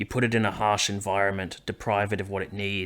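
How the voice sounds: What comes through is a natural reading voice.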